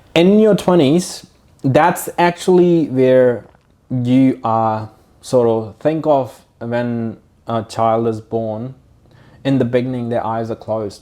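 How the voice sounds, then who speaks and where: A man speaks very slowly in a Punjabi accent, his tone dark and mellow. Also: medium pitch for a man, ordinary pitch variation. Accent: Indian Punjabi English. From India (Punjab). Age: 30s. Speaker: online fitness coach and business owner. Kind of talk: podcast interview.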